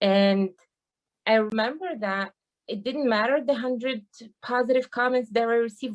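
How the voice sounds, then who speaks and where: A woman with a strong non-native accent, fairly high pitch, ordinary pitch variation and a moderate pace. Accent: thick foreign. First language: not English. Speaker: university teaching assistant. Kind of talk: panel discussion.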